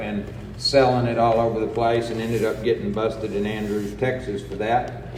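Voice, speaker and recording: The speech is monotone and flat, with audible room echo and noticeable background noise. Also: man. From New Mexico (Roswell). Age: 60s. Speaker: recovery speaker. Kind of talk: personal testimony talk.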